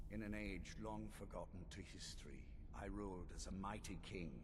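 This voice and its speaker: A man delivers a put-on character voice at a moderate pace while loud background noise plays. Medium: game stream. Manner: formal, imperious.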